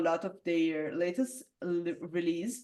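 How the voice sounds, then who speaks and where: A woman with an Italian accent, fairly slow, her intonation lively. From Italy. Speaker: metal singer. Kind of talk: interview. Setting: video call. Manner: halting, many fillers.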